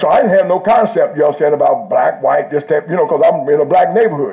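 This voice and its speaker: Very fast and animated, a man talks at very even loudness over noticeable background noise. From Indianapolis, US Midwest. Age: 70s. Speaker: pastor. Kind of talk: sermon. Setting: church service with live audience.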